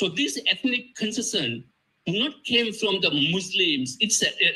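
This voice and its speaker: A man's raised, projected voice with a Tamil accent, bright, sharp tone, fairly slow pace and lively intonation. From Sri Lanka. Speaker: panel speaker. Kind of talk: conference talk. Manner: halting.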